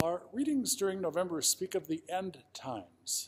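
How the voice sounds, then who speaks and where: A man speaks at a high pitch. His pace is moderate. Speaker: pastor. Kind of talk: church service announcement and scripture introduction. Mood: calm, warm. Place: church. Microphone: phone near.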